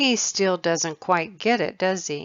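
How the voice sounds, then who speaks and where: A raspy, female-sounding put-on character voice at a middle pitch and a fairly slow pace. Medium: read story. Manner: breezy, cocky.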